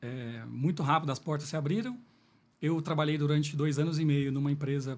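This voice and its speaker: A man speaks at a fairly quick pace in a fairly high pitch. His voice is somewhat breathy, with ordinary pitch variation. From Minas Gerais, Brazil (Lavras). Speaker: business executive, salesman. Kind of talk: podcast interview.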